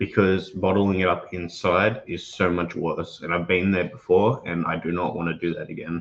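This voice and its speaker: A man with an Australian accent speaks at a moderate pace with hardly any pauses. His pitch is very deep and low, his intonation fairly even. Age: young. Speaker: host's son. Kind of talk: personal testimony.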